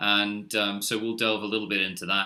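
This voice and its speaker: The man's medium-pitched voice has a bright, sharp tone and moves at a moderate pace. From Australia, Sydney. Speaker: startup co-founder. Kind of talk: webinar presentation. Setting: online webinar. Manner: hesitant, many fillers.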